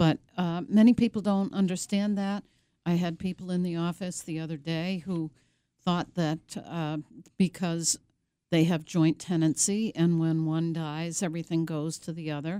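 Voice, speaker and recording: A woman with an American accent has an ordinary speaking voice, fairly low in pitch, with fairly even intonation at a moderate pace. The sound is dry and close, with no echo. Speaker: elder law attorney. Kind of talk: radio interview. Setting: radio studio.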